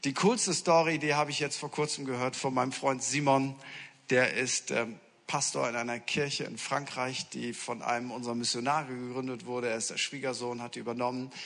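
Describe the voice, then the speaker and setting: A man at a medium pitch, with a fairly quick pace. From northern Germany, Friesland. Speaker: pastor. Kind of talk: sermon. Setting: church. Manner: animated.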